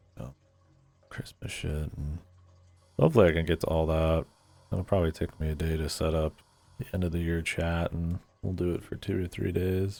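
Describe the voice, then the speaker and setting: Quiet and very deep, a man's dark, mellow voice moves at a fairly quick pace with fairly even intonation and long, frequent pauses, recorded very cleanly against a silent background. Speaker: game streamer. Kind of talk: casual chat. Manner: slurring, a little quiet.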